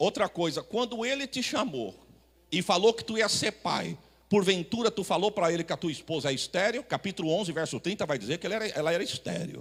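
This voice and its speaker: Speaking at a fairly quick pace, a man with a high pitch uses lively intonation and an animated tone. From Brazil, São Paulo city. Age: 40s. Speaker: pastor. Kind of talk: sermon.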